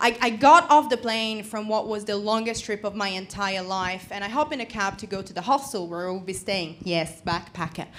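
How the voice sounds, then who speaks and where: Woman's voice, fairly high and bright, sharp in tone, at a moderate pace with ordinary pitch variation. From Italy. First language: Italian. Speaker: comedian. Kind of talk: stand-up. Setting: stage with audience.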